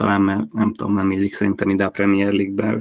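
Words come at a very fast pace from a man. His fairly low pitch stays in a monotone, flat intonation. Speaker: fantasy football podcast host. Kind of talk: casual chat.

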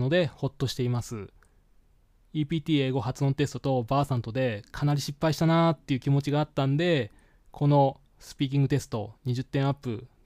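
A man's fairly high voice with a dark, mellow tone, ordinary pitch variation and a fairly quick pace, dry and close with no echo, in a very clean recording over a silent background. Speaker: podcast host, English learner. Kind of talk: solo podcast monologue. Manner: hesitant, many fillers.

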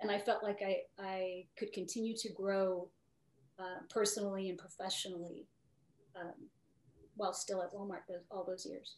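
At a moderate pace, a woman with a medium pitch speaks in fairly even intonation, leaving long, frequent pauses. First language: Spanish. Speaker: retired retail executive. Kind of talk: interview.

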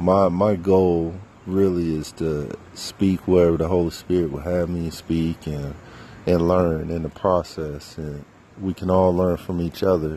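With an American accent, a man talks at a fairly slow pace in a very deep, low pitch and a monotone, flat delivery, against noticeable background noise. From US South, North Carolina. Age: 30s. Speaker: minister and podcast host. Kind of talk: casual personal monologue, testimony. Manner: halting, many fillers; unrehearsed, spontaneous.

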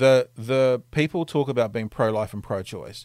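The voice belongs to a man. He talks in a New Zealand accent. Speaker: podcast host. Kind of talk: casual chat. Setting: video call.

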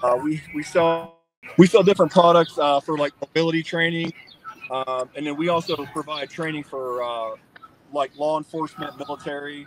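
Against music in the background, a man with an American accent talks at a moderate pace and a fairly high pitch, with fairly even intonation and big swings in loudness. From Ohio. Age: 40s. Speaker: army veteran, company executive. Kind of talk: casual interview.

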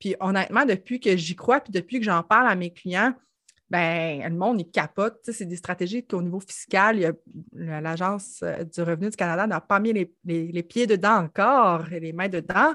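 Bright and sharp in tone, a woman of medium pitch speaks at a fairly slow pace with ordinary pitch variation. The background is quiet. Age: 30s. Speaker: financial services entrepreneur. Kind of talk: casual chat.

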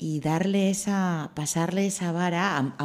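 Using a normal speaking voice, a woman talks at a fairly slow pace and fairly low pitch in a very clean recording with a silent background. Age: 20s. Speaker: radio host. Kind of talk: radio interview.

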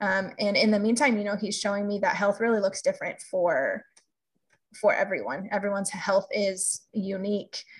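Somewhat breathy, a woman with a medium pitch speaks at a moderate pace with ordinary pitch variation. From California. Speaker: health coach. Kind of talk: podcast interview.

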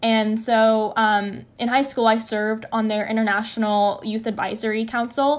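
An ordinary speaking voice from a woman, fairly high in pitch, at a moderate pace in a very clean recording with a silent background. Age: young. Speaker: university student and activist. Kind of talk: interview.

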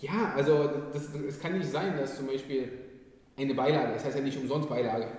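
The speaker goes at a fairly quick pace with ordinary pitch variation, yet leaves long, frequent pauses. There is audible room echo and noticeable background noise. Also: man, fairly high pitch for a man. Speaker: podcast host. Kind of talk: casual interview. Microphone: poor quality, main mic failed.

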